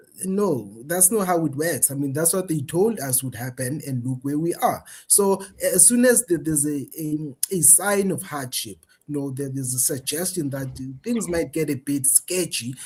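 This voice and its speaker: This man's voice sits at a fairly high pitch and is somewhat breathy. His intonation is lively. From South Africa. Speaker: political commentator. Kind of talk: interview discussion. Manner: repetitive restarts, stammering on words.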